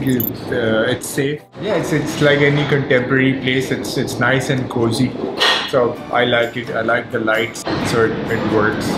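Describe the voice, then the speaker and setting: Music plays in the background. A man speaks over it at a fairly slow pace. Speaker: food vlogger. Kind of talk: casual vlog review. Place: cafe.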